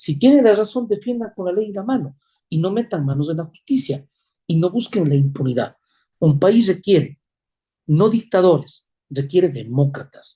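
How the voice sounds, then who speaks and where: A man speaks at a high pitch in a dark, mellow tone. His pitch swings very widely at a moderate pace. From Ecuador. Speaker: presidential candidate, former judge. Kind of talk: political interview. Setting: interview program. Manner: emphatic, measured.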